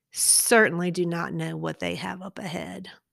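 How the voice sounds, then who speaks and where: A woman speaks with a Southern US accent at a fairly slow pace. The recording is very clean and the background silent. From eastern North Carolina. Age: 40s. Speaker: podcast host, pediatric dentist. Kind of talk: faith testimony monologue. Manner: casual, conversational.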